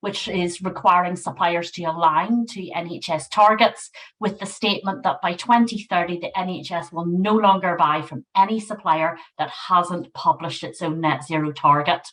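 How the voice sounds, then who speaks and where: In a Northern Irish accent, a woman speaks at a moderate pace with a medium pitch. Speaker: NHS sustainability manager. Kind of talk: webinar presentation.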